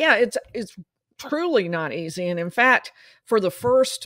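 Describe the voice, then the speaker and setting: A woman speaks at a moderate pace. The sound is dry with no echo over a quiet background. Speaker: remote guest, trial commentator. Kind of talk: interview answer. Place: home room. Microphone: studio mic.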